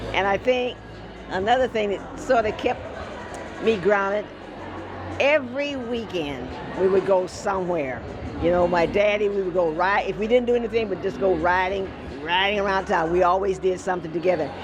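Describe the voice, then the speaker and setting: A woman speaks at a medium pitch with ordinary pitch variation, at a moderate pace with long, frequent pauses. Music plays in the background, and there is audible room echo. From US Midwest, Evanston, Illinois. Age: 80s+. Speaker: former TV news personality. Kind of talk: casual interview.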